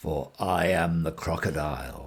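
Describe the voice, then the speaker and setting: Putting on a character voice, a man speaks at a fairly slow pace with very deep, low pitch and fairly even intonation. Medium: read story. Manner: sly, coaxing.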